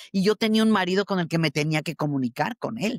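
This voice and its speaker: A woman speaks at a fairly quick pace in an unremarkable speaking voice. Her medium pitch carries lively intonation. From Mexico, Michoacán. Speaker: actress. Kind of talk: interview. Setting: video call.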